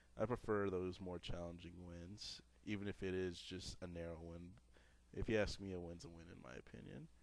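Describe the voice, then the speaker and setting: A man with a very deep, low pitch talks at a moderate pace. His loudness swings widely. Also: ordinary pitch variation. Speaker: gamer. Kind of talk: video game commentary. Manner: casual, joking.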